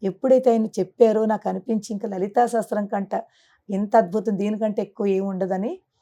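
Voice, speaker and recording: Fairly high in pitch, a woman speaks with fairly even intonation and a dark, mellow tone on a very clean recording with a silent background. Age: 50s. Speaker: spiritual teacher. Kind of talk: interview.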